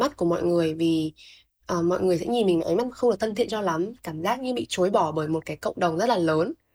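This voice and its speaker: A woman with a dark, mellow tone speaks at a very fast pace with lively intonation. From Vietnam, Thanh Hóa province. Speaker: university student and youtuber. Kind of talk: personal testimony in interview.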